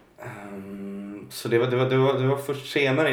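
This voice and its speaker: A man's voice sits at a medium pitch with ordinary pitch variation. Noticeable background noise runs beneath it. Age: 20s. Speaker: singer. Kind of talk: interview about mental health. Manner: halting.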